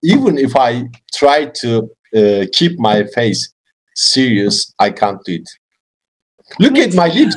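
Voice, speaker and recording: With a Turkish accent, a man talks using very wide pitch swings. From Turkey. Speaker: English learner and YouTuber. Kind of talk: casual chat. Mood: cheerful, laughing. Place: home room. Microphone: video call.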